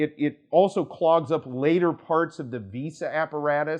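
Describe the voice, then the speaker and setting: A man with a Kansas accent, fairly high pitch and ordinary pitch variation. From US, Kansas. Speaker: immigration attorney. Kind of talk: casual talk to camera. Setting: studio to camera. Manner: conversational, many fillers.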